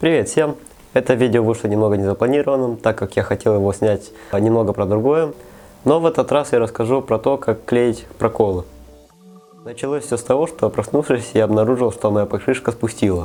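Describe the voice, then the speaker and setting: Music plays in the background as a man of medium pitch talks with ordinary pitch variation. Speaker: bike tutorial host. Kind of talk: how-to tutorial narration.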